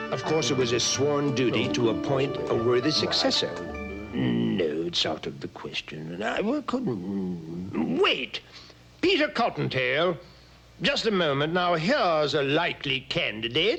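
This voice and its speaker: A man performs a cartoonish character voice. His pitch sits at a medium level. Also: moderate pace. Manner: theatrical, deliberate.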